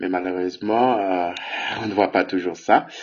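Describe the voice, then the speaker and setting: The man's voice is fairly low in pitch, with monotone, flat intonation. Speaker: bible teacher. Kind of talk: bible teaching.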